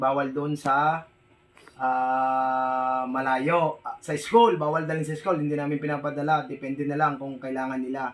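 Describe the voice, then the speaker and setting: Music plays in the background as a man speaks at a fairly slow pace. His voice sits at a fairly high pitch with fairly even intonation. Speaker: vlogger. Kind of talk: casual vlog talk. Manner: halting, many fillers.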